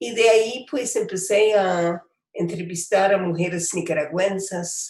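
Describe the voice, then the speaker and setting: The pace is very slow. Intonation stays fairly even. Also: woman. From United States. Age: 80s+. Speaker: poet and writer. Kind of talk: interview. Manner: halting, many fillers.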